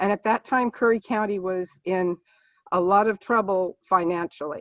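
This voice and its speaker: Speaking at a moderate pace with fairly even intonation, a woman has a medium-pitched voice and an unremarkable speaking voice. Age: 60s. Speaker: political candidate, nurse. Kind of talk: candidate forum opening statement. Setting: video call.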